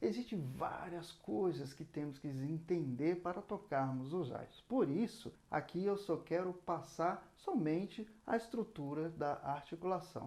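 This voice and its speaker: A man with a Brazilian accent speaks at a fairly slow pace, with hardly any pauses. His high pitch has ordinary variation and a dark, mellow tone. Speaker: saxophone teacher. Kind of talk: lesson.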